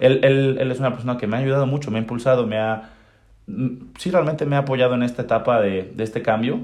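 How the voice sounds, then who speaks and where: A medium-pitched man at a very fast pace, ordinary pitch variation, and long, frequent pauses. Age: 20s. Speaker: young horseman and charro. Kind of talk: casual interview. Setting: at a country estate. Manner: halting, many repetitions.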